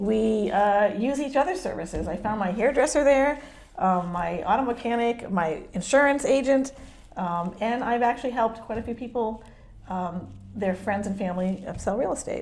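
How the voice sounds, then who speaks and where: A woman speaks with a fairly high pitch and lively intonation. Her pace is moderate. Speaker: real estate agent. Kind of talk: interview. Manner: hesitant, many fillers.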